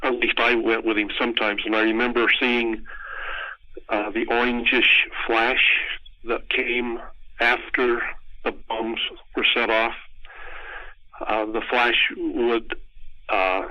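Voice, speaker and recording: A man with an American accent, fairly slow pace, long and frequent pauses, and monotone, flat intonation. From US West, southern Utah (St. George). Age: 70s. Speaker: oral history interviewee, fallout survivor. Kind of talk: oral history interview. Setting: phone call. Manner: hesitant, many fillers.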